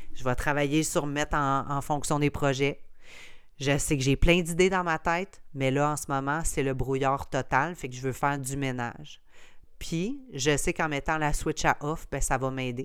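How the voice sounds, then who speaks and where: Her pitch very deep and low, a woman speaks at a fairly slow pace with fairly even intonation on a very clean recording with a silent background. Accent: Quebec. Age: 30s. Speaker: podcast host, entrepreneur. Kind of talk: casual solo monologue.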